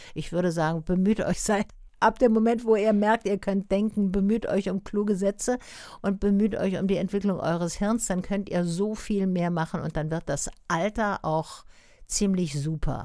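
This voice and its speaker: On a very clean recording with a silent background, a woman talks at a moderate pace in a dark, mellow tone, medium in pitch with ordinary pitch variation. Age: 70s. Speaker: cabaret artist and actress. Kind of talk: radio interview.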